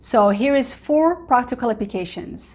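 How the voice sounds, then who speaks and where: A woman at a fairly slow pace, with an Arabic accent. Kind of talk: casual testimony-style talk to camera. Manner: conversational, many fillers.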